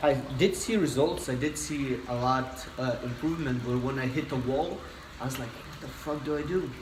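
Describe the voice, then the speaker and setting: A man with a Lithuanian accent at a medium pitch and moderate pace, ordinary pitch variation, noticeable background noise and audible room echo. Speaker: personal trainer. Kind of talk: casual interview chat. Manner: hesitant, many fillers.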